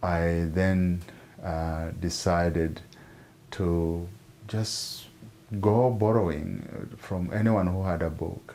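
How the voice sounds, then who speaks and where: With a dark, mellow tone and fairly even intonation, the speaker moves at a very slow pace with long, frequent pauses amid audible room echo. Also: man, very deep, low pitch for a man. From Kenya. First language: Maragoli (Luhya). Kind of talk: personal story. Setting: retreat center. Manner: halting, many repetitions.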